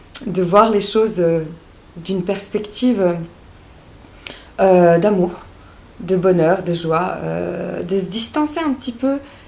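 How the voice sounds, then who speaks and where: Amid audible room echo, a woman at medium pitch talks at a very slow pace with long, frequent pauses and ordinary pitch variation. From Bosnia (Sarajevo). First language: Serbo-Croatian (speaking French). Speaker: naturopath and life coach. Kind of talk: vlog monologue. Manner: hesitant, many fillers.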